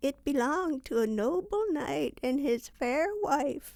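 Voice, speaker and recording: A woman's put-on character voice, high and gentle with a solemn tone, very slow, with very wide pitch swings. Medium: read story. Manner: gentle, solemn.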